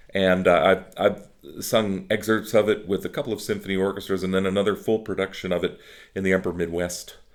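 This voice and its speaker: Fairly low-pitched male speech at a fairly quick pace, with fairly even intonation, on a very clean recording with a silent background. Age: 60s. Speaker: opera singer. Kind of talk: interview. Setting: office. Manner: halting.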